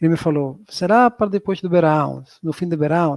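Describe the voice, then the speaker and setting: A man's high-pitched voice in a strong southern Spanish accent, at a moderate pace, dry and close with no echo. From southern Spain. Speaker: professor. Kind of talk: lecture.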